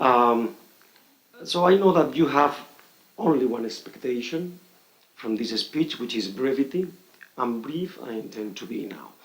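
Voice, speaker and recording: Speaking fairly slowly with long, frequent pauses, a man with a Spanish accent uses a medium pitch, lively intonation and big swings in loudness. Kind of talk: conference speech. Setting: conference hall with audience. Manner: halting, many fillers.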